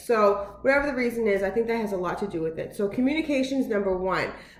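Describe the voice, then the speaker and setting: Loud and animated, a woman speaks at a very fast pace and medium pitch with ordinary pitch variation, amid audible room echo and noticeable background noise. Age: 30s. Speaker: vlogger. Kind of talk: casual vlog monologue. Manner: fast, with many filler words.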